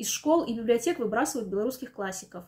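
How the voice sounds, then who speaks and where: A woman talks at a very fast pace with a high pitch. The background is quiet. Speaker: news presenter. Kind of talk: news commentary narration. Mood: dry, ironic. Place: home room.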